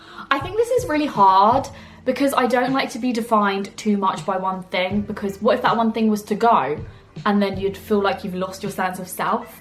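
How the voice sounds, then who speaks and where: Speaking with an English accent at a moderate pace, the voice shows ordinary pitch variation while music plays in the background. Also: woman, medium pitch for a woman. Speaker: YouTuber. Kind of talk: casual Q&A vlog. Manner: loud; chatty.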